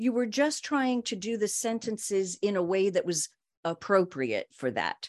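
An unremarkable speaking voice moves at a moderate pace with lively intonation. The sound is dry and close, with no echo. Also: woman, medium pitch for a woman. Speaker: broadcast voice coach. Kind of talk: casual interview conversation.

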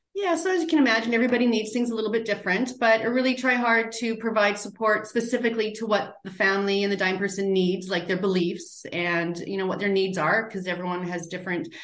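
A woman talks very fast with hardly any pauses. Background noise is noticeable. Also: ordinary pitch variation. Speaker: end-of-life doula. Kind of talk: interview conversation.

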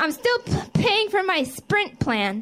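The woman's voice moves in very wide pitch swings. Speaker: comedian. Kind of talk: stand-up. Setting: stage with audience.

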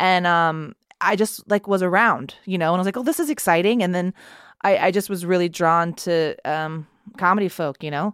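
With an American accent, a woman speaks at a moderate pace in a medium pitch with ordinary pitch variation, a normal speaking voice caught in a dry, close sound with no echo on a very clean recording with a silent background. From Texas. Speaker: choreographer and actress. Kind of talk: casual chat.

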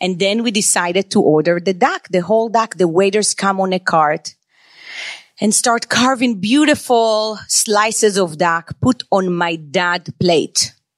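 A woman with a plain, everyday voice talks at medium pitch with ordinary pitch variation and very even loudness, in a dry, close sound with no echo. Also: fairly slow pace. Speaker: chef and restaurant owner. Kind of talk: live storytelling and interview. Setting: stage with audience.

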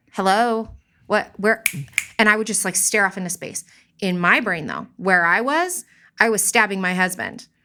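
A woman's medium-pitched voice, bright and sharp in tone, with ordinary pitch variation, a moderate pace, and long, frequent pauses. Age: 30s. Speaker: mother of four, small art business owner. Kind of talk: casual interview, personal testimony.

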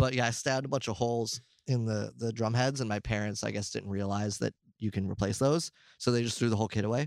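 A man with an American accent at a very fast pace, fairly even intonation, dry, close sound with no echo, very clean recording and silent background. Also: medium pitch for a man. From New York. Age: 30s. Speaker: metal drummer. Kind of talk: interview. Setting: on tour, before a show.

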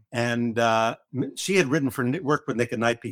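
A plain, everyday voice moves at a fairly quick pace. The sound is dry and close with no echo, in a very clean recording with a silent background. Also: man. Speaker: comedy writer. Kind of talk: casual chat.

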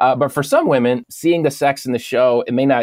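A man speaks in a normal speaking voice, captured in a dry, close sound with no echo. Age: 40s. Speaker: pastor and author. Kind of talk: interview conversation.

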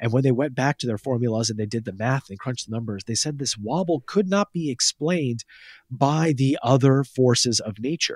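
On a very clean recording with a silent background and a dry, close sound with no echo, a man of medium pitch talks fairly quickly with ordinary pitch variation in an unremarkable speaking voice. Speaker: science journalist. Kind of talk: casual chat.

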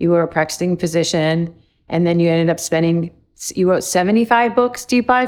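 A woman with a plain, everyday voice and a fairly low pitch speaks at a fairly quick pace with ordinary pitch variation. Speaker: podcast host. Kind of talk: interview conversation.

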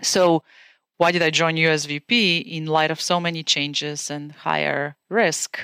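In a Bulgarian accent, the speaker uses a bright, sharp tone and fairly even intonation at a fairly slow pace, the sound dry and close with no echo on a very clean recording with a silent background. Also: woman, very deep, low pitch for a woman. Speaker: venture capital investor. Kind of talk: interview.

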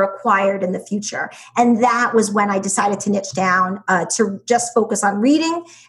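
A woman with a medium-pitched, somewhat breathy voice talks at a moderate pace with hardly any pauses and ordinary pitch variation. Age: 40s. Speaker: education business founder, former teacher. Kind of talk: interview.

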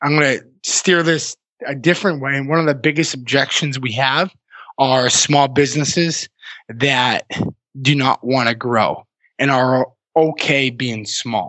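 A man with an American accent and a normal speaking voice, medium in pitch, with ordinary pitch variation and a fairly slow pace. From Massachusetts. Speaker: entrepreneur and author. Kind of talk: interview.

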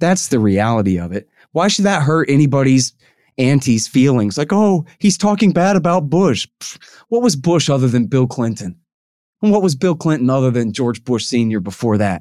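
A man with a Texas accent speaks at medium pitch in a dark, mellow tone, his pitch swinging very widely. The recording is very clean, with a silent background. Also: moderate pace. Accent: Texas snark. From Texas, Austin. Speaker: foreign policy writer and libertarian commentator. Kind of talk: interview. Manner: animated.

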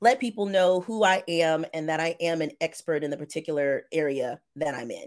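A woman speaks with a plain, everyday voice at a fairly low pitch and a moderate pace. Her intonation is lively, and the recording is very clean with a silent background. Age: 40s. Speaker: loan signing agent and trainer. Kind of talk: interview.

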